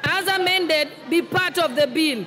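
A woman's raised, projected voice at a very slow pace, with lively intonation and light background noise. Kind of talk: formal procedural chairing. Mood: firm amid disorder. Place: hall. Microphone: podium.

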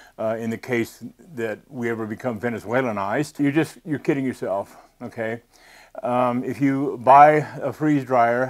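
A man at a moderate pace, with a quiet background. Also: fairly even intonation. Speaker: presenter. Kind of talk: tutorial. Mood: earnest, cautionary. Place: studio. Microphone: lapel.

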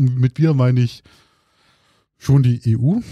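This man's voice has a dark, mellow tone and is somewhat breathy. The sound is dry and close, with no echo. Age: 30s. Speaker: podcast co-host. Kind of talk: casual chat. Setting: studio.

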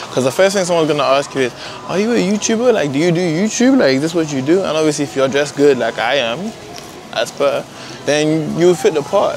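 Amid noticeable background noise, a man talks at a very fast pace in a dry sound with no echo. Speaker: vlogger. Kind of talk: casual vlog chat. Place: shop. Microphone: phone near.

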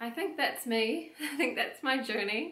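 A woman speaks in a room with audible echo. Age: 20s. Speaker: fitness coach and personal trainer; fitness coach, personal trainer. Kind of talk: personal testimony monologue. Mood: reflective, personal story. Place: home room.

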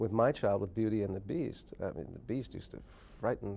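A man with a dark, mellow tone and vocal fry. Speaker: interviewed actor. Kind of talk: interview answer. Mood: relaxed, amused. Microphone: lapel.

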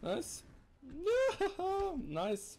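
A man speaks with a Swiss accent. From Switzerland. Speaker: let's player. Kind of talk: casual gameplay commentary.

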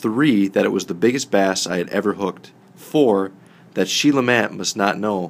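Someone reads a text aloud. Their voice sounds natural.

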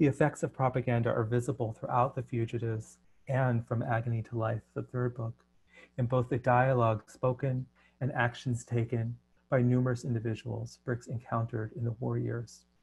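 Over a quiet background, a man talks at a moderate pace. His somewhat breathy voice stays in a monotone, flat intonation. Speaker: translator and poet. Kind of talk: presentation. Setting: video call. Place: home room. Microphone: headset.

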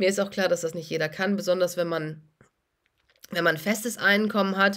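This woman has an unremarkable speaking voice, fairly low in pitch, delivered at a moderate pace with fairly even intonation over a quiet background. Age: 40s. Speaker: doctor and finance YouTuber; finance YouTuber. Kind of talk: casual vlog monologue. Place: home room. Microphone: phone near.

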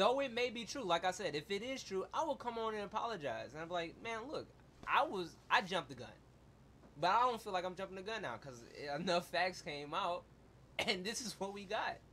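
With a raised, projected voice, a man speaks fairly quickly at a high pitch, his tone bright and sharp and his intonation lively. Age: 20s. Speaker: podcast co-host. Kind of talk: casual chat. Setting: studio.

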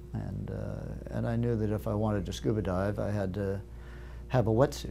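A man's very deep, low voice at a moderate pace, with music in the background. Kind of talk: interview answer. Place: studio. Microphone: lapel.

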